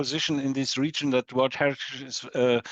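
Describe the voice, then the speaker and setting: A man with a German accent speaks at a medium pitch in a flat monotone, recorded dry and close with no echo. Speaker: professor of history of technology. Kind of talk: conference Q&A. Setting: lecture hall with audience. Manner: halting.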